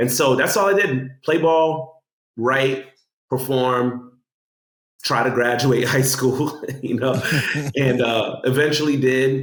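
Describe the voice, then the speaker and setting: A man with an American accent speaks at a fairly slow pace in a plain, everyday voice, his medium pitch showing ordinary variation. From Guyanese heritage, Orlando, USA. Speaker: spoken word poet, city poet laureate. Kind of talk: interview answer telling personal story. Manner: conversational, casual.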